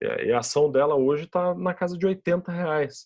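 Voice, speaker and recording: With a Brazilian accent, a man speaks at a moderate pace against a quiet background. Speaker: podcast host, investment educator. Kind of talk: solo podcast explanation of investing. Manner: casual, with many fillers and repetitions.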